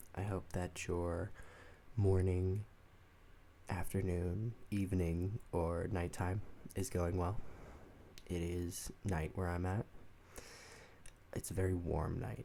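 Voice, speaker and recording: Soft-spoken and relaxed in tone, this very slow voice is dark and mellow, with fairly even intonation and long, frequent pauses. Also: man, very deep, low pitch for a man. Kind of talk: soft-spoken ASMR book discussion to camera. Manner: soft-spoken, relaxed.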